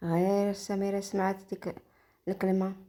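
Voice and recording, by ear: Natural, read-aloud delivery in a natural voice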